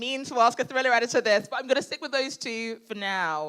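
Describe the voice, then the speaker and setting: A woman speaks quite quickly in a British accent. Her voice is fairly high, with ordinary pitch variation. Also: very clean recording, silent background. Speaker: crime novelist and former editor. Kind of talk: live Q&A at a literary event. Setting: stage with audience. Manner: loud.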